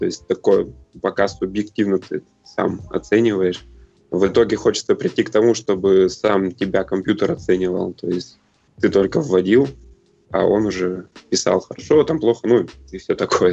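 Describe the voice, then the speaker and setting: The voice moves at a moderate pace with ordinary pitch variation and long, frequent pauses. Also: man, fairly low pitch for a man. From Russia, Chelyabinsk. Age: 30s. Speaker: CrossFit athlete and coach. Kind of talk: interview. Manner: halting, many fillers.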